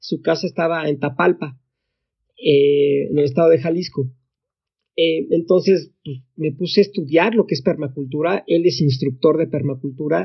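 A man with a fairly high pitch uses an ordinary speaking voice. He talks at a moderate pace with ordinary pitch variation. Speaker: tech entrepreneur. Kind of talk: casual interview.

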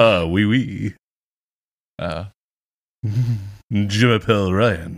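This man's pitch is fairly low. He is using a put-on character voice. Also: very clean recording, silent background. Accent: French.

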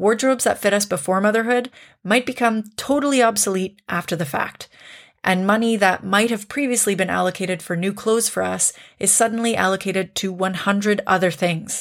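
A woman with a Canadian accent speaks in an ordinary speaking voice at a fairly quick pace, her medium pitch showing ordinary variation, on a very clean recording with a silent background. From Canada. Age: 30s. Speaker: podcast host. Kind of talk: casual chat.

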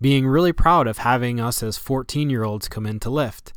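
A very clean recording with a silent background, ordinary pitch variation, and an upstate New York accent. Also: man. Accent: upstate New York American. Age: 40s. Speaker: athletic trainer and podcast host. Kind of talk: personal storytelling monologue.

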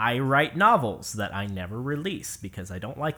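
At a moderate pace, a man with a medium pitch speaks in a bright, sharp tone with lively intonation. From US Pacific Northwest, Seattle area. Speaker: game developer. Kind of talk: casual interview conversation.

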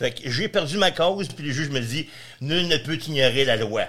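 This man has a Quebec accent, a bright, sharp tone and lively intonation. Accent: Quebec French, casual joual. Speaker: real estate investor and landlord. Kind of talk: casual interview.

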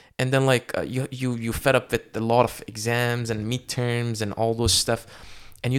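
The speaker is a man at a medium pitch. He has an unremarkable speaking voice. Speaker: podcast host and medical student. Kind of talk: casual interview.

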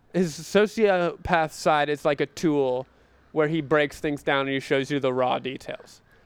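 A man speaks at a moderate pace with an American accent, in a plain, everyday voice with fairly high pitch and ordinary pitch variation, on a very clean recording with a silent background. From North Carolina, small town. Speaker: podcast co-host. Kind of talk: casual chat.

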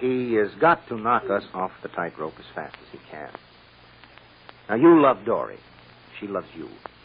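A put-on character voice has a slightly husky edge and moves at a moderate pace. Its pitch swings widely. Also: man, fairly low pitch for a man.

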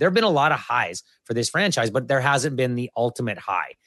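Over a quiet background, a man with a Canadian accent talks in a normal speaking voice at a fairly quick pace and medium pitch. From western Canada (Alberta, then Kamloops, BC). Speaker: sports broadcaster and podcaster. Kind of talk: casual interview.

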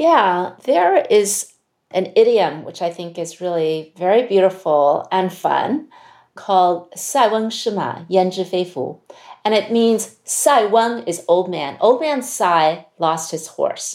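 A woman with an American accent speaks very slowly with lively intonation in a very clean recording with a silent background. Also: medium pitch for a woman. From US (Chinese American). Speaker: CEO of a leadership institute. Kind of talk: interview conversation.

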